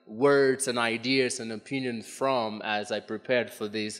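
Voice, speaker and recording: A man at a fairly slow pace with fairly even intonation, faint music in the background. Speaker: conference presenter. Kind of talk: lecture. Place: hall. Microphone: podium.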